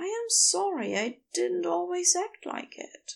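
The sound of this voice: A woman uses a put-on character voice at an extremely high pitch, with vocal fry and big pitch swings, speaking at a fairly slow pace.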